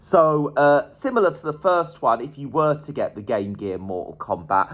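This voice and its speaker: With a northern English accent, a man speaks at a moderate pace in an enthusiastic tone at a fairly high pitch. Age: 40s. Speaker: retro gaming YouTuber. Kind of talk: casual video monologue. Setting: at home in cold flat.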